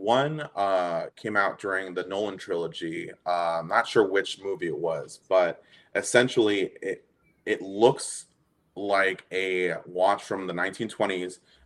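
A man with an American accent at a very slow pace. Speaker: Batman collector. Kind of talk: casual interview chat.

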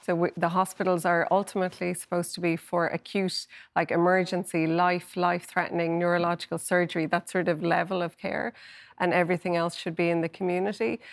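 On a very clean recording with a silent background, a woman with an Irish accent talks very fast in a fairly low, monotone, flat voice. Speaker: health correspondent. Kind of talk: TV panel discussion. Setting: studio.

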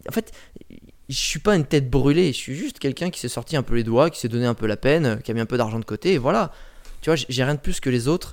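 On a very clean recording with a silent background, a man at medium pitch talks at a very fast pace in an animated tone. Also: lively intonation. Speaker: personal branding coach and travel blogger. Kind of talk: casual interview. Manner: animated, talks constantly; loud.

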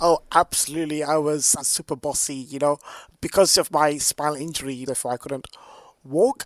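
A man with a London accent speaks at a fairly quick pace and a fairly high pitch, his intonation fairly even but his loudness swinging widely, in a dry, close sound with no echo on a very clean recording with a silent background. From London, England. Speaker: artist and tech analyst. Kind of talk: casual chat.

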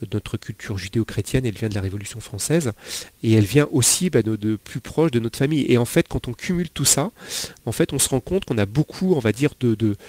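A man talks at a very fast pace with lively intonation and medium pitch. His tone is dark and mellow, and the sound is dry and close with no echo. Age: 40s. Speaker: financial investment advisor. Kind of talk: interview. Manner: halting, many fillers.

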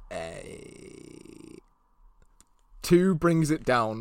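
A man with a British accent. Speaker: podcast host. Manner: playful, jokey, does silly Italian voices.

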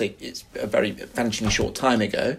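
This man speaks in a London accent. He keeps a moderate pace. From West London. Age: 50s. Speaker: professor and author. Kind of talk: interview.

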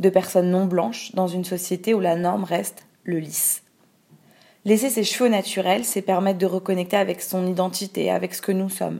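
Her voice is dark and mellow at medium pitch. The woman keeps a moderate pace and fairly even intonation. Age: 20s. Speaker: activist narrator. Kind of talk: scripted narration.

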